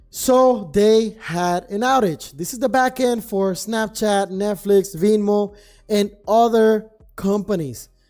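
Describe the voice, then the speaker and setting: With music playing behind him, a man speaks very slowly in a high pitch that shows ordinary variation. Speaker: trading streamer. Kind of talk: live stream commentary. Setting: live stream. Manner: casual, rambling with fillers.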